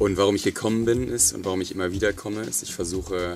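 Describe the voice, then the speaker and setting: A man with a very deep, low pitch talks at a fairly quick pace. His intonation stays fairly even while music plays in the background. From northern Germany. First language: German (speaking Russian). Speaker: conference co-founder. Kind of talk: interview via interpreter. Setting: studio.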